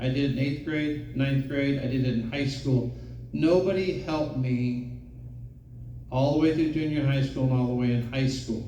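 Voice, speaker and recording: Very even loudness and fairly even intonation, with audible room echo. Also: man. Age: 60s. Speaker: audience member. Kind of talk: audience comment.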